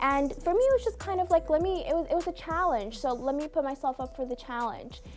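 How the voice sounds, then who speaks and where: A high-pitched woman at a very fast pace with hardly any pauses and very wide pitch swings, music in the background. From Cape Verde, moved to US at seven. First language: Cape Verdean Creole. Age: 20s. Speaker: beauty pageant titleholder. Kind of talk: interview.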